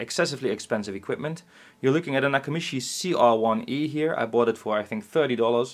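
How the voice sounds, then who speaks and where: The man speaks at a very fast pace. His intonation is lively. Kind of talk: casual explanatory demo talk. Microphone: camera far.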